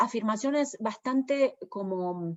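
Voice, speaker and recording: Speaking at a very slow pace, a woman with a fairly high voice shows ordinary pitch variation. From Argentina. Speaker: poet and translator. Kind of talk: interview. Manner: hesitant, many fillers.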